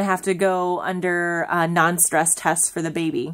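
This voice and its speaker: A woman is speaking. Her pace is moderate. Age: 30s. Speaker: family vlogger. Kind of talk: casual vlog monologue. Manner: halting, many filler ums.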